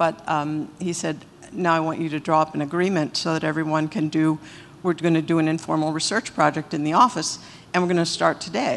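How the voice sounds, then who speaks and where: Her intonation fairly even, a woman speaks at a fairly quick pace in a very deep, low pitch. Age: 60s. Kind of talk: testimonial talk to audience.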